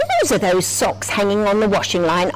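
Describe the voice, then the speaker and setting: A put-on character voice that sounds female, pitched in the middle and delivered at a moderate pace over loud background noise. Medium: read story.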